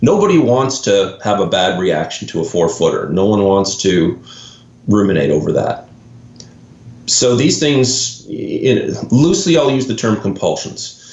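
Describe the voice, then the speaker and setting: A man with a Canadian accent speaks with very wide pitch swings, and audible room echo can be heard. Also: medium pitch for a man. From Canada. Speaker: golf mental performance coach. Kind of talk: podcast interview.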